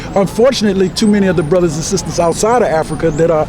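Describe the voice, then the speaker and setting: Over noticeable background noise, a man talks at a very fast pace with a high pitch and lively intonation. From Washington, D.C. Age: 70s. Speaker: community activist. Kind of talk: interview.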